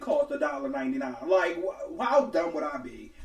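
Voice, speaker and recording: The speaker moves at a fairly quick pace with very wide pitch swings. Noticeable background noise is present. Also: man. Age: 20s. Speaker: podcast co-host. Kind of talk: casual chat. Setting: home recording.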